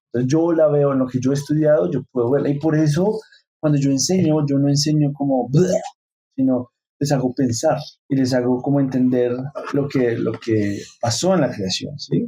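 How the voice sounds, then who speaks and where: At a fairly quick pace, a man with a fairly high, dark and mellow voice speaks with ordinary pitch variation. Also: very even loudness. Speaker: teacher. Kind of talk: casual group discussion on faith. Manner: fast; animated.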